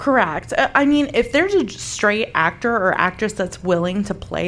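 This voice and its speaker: With an unremarkable speaking voice, a woman talks at a moderate pace in a fairly high pitch and lively intonation. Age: 40s. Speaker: podcaster. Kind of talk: casual chat. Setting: live recording with audience.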